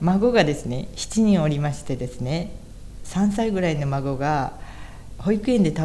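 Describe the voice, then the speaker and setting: At a moderate pace, a woman with a very deep, low pitch speaks with lively intonation, with audible room echo and noticeable background noise. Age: 60s. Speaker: church member, interviewee. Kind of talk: interview testimony.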